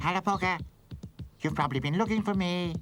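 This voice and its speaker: In a cartoonish character voice, a man talks at a very fast pace with a high pitch, the cartoonish act carrying through his whole delivery. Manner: chatty, fussy.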